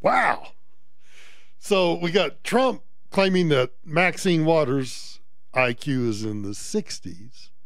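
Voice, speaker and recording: This man's voice is fairly high and swings very widely in pitch. He talks at a very slow pace with long, frequent pauses, and the room echo is audible. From US South. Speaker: talk radio host. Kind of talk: talk radio commentary. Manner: animated.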